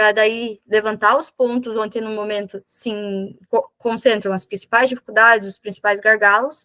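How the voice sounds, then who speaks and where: A woman with a fairly high pitch talks at a moderate pace with fairly even intonation, in a dry, close sound with no echo. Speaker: business consultant facilitator. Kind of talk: online workshop presentation. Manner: halting self-corrections.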